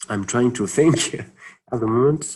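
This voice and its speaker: A man with a non-native accent speaks at medium pitch with ordinary pitch variation. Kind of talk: webinar Q&A. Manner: halting, many fillers.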